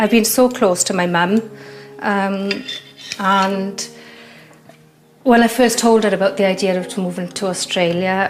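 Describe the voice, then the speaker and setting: A woman with a British accent, medium in pitch, at a fairly slow pace with long, frequent pauses and fairly even intonation, over noticeable background noise. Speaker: mother considering emigration. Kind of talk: reality TV interview.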